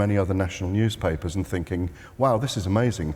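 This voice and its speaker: A man speaks with a British accent. His pitch variation is ordinary. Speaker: sports journalist. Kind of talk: panel discussion. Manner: loud; halting.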